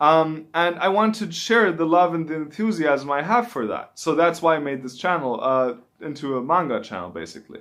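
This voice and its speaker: With a German accent, a man speaks at a fairly quick pace in a fairly high pitch and lively intonation. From Germany. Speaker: YouTuber, manga reviewer. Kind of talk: casual vlog talk to camera. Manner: halting, with fillers and restarts.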